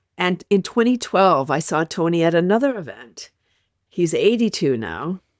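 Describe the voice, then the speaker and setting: A woman with a fairly low voice speaks at a moderate pace, her pitch swinging very widely. The sound is dry and close with no echo, over a quiet background. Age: 60s. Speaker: health and wellness advocate. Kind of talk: interview. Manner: animated.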